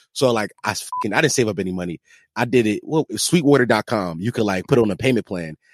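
Here a man talks at a very fast pace with fairly low pitch and lively intonation. The recording is very clean with a silent background, and the sound is dry and close with no echo. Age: 20s. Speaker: podcaster. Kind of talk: casual chat.

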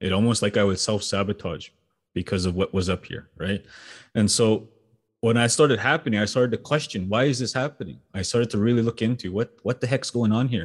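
A man's normal speaking voice at medium pitch, fairly quick in pace, with ordinary pitch variation. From Saskatchewan, Canada (First Nation reserve). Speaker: entrepreneur and speaker. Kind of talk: interview.

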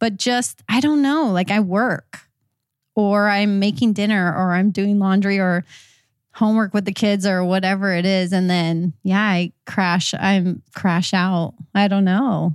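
With very even loudness, a woman with an unremarkable speaking voice talks at a medium pitch with ordinary pitch variation. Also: fairly slow pace, very clean recording, silent background. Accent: American. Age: 30s. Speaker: hairstylist and educator. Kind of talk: casual interview chat.

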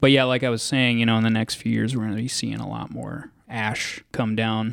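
In a very clean recording with a silent background and a dry, close sound with no echo, a man with an unremarkable speaking voice talks at a medium pitch with fairly even intonation. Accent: American. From Texas, Dallas. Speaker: city natural resources specialist. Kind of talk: interview.

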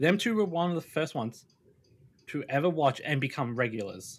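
A man with an Australian accent, fairly high pitch, and very wide pitch swings, on a very clean recording with a silent background. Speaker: streamer. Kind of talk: casual chat.

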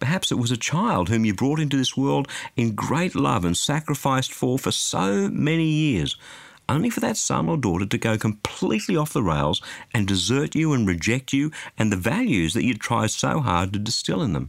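A man with an Australian accent speaks at a moderate pace and a medium pitch, with vocal fry. His pitch swings very widely while his loudness stays very even. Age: 50s. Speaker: radio preacher. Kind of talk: sermon.

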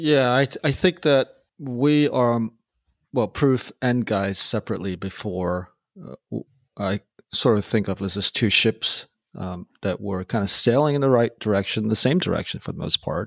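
The intonation is lively. A man speaks at a medium pitch. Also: dry, close sound with no echo, very clean recording, silent background. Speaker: software developer. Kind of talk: casual interview chat. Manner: slow, meditative.

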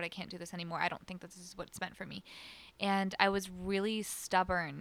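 Talking at a very fast pace, a woman holds a medium pitch in a monotone, flat delivery. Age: 20s. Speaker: singer-songwriter. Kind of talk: casual chat. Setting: radio studio.

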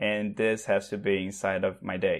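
A man speaks with a Portuguese accent. His voice sits fairly low in pitch. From Brazil, Sao Paulo. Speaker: remote tech worker and online teacher. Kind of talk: casual chat. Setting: video call.

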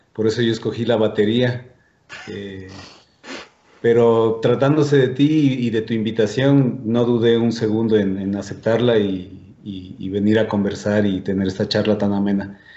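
A man's fairly low voice at a fairly slow pace, with fairly even intonation and audible room echo. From Ecuador. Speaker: drummer and festival organizer. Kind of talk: casual chat.

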